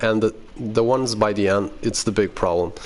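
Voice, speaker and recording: A man speaks with a Portuguese accent in a monotone, flat way. Noticeable background noise sits underneath. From Portugal. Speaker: gaming youtuber. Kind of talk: gameplay tutorial commentary. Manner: casual, halting with fillers.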